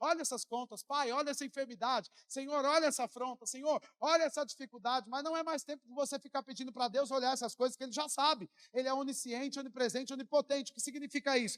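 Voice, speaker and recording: This man has an extremely high pitch and an animated tone, talking at a very fast pace. The sound is dry and close, with no echo. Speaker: pastor. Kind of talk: sermon.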